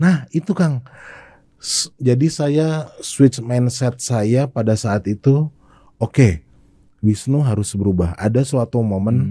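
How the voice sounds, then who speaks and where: A man with a medium-pitched, dark, mellow voice speaks at a very slow pace. He sounds somewhat breathy, and his intonation is lively. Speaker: sales expert. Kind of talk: podcast interview. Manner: casual conversational.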